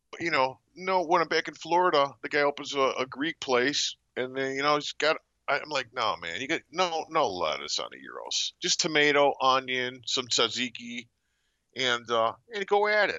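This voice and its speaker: Lively intonation marks a man's ordinary speaking voice, which sits fairly high in pitch. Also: moderate pace. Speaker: sports betting guest. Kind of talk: casual sports betting talk. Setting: phone call.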